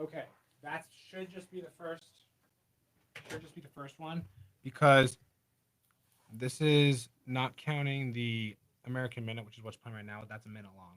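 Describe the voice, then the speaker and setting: A man at a medium pitch talks at a moderate pace with ordinary pitch variation. His loudness swings widely, and he takes long, frequent pauses. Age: young. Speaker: radio show producer. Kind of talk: casual chat.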